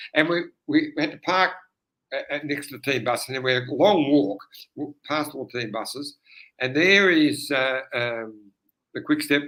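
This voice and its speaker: A man with a fairly high pitch and an Australian accent, speaking at a fairly slow pace. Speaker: retired pro cyclist, commentator. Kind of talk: casual chat. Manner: mumbling.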